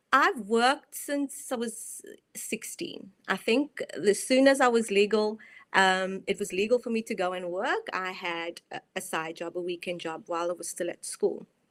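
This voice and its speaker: A woman in a South African accent speaks with lively intonation and big swings in loudness. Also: medium pitch for a woman. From South Africa, Cape Town. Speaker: mindset and performance coach. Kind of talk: online presentation. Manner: slow.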